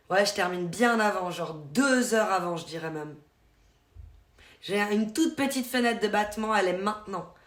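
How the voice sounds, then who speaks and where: A woman's medium-pitched voice in a slight Vaud accent, at a moderate pace with long, frequent pauses, ordinary pitch variation and audible room echo. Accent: slight Swiss French (Vaud). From Switzerland, canton of Vaud. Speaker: streamer. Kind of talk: casual live-stream chat. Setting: live stream.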